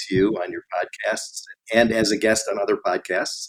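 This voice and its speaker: Here a man talks at a moderate pace in a fairly low pitch. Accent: American. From US Midwest, Chicago suburbs. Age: 60s. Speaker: industrial real estate investor. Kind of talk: podcast interview.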